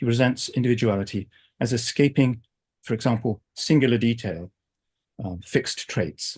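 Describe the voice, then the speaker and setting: A somewhat breathy voice in an American accent at a moderate pace, with ordinary pitch variation, long, frequent pauses and a quiet background. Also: man, medium pitch for a man. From England. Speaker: philosophy professor. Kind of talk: academic lecture. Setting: video call.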